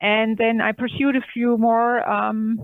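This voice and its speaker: Her pitch fairly high, a woman speaks with a German accent. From southern Germany. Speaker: manufacturing technology director. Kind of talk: podcast interview.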